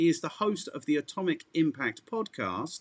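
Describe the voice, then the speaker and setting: A man with an English accent and fairly high pitch, in a dry, close sound with no echo. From England. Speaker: marketing podcast host. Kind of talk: podcast interview.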